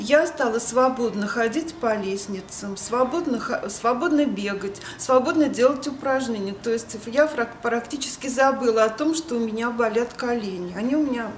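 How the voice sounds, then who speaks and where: A woman speaks at a high pitch and a moderate pace. Audible room echo and noticeable background noise fill the recording. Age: 60s. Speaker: fitness club member. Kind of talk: testimonial.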